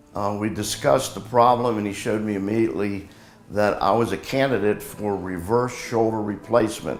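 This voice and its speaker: With music in the background and audible room echo, a man speaks at a fairly low pitch and a fairly quick pace with ordinary pitch variation. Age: 70s. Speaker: patient. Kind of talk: testimony.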